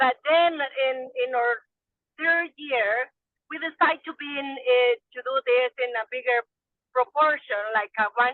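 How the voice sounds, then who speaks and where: Speaking very slowly with a Salvadoran accent, a woman uses a high pitch, ordinary pitch variation and big swings in loudness. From El Salvador. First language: Spanish. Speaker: small farmer. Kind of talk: webinar discussion. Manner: halting.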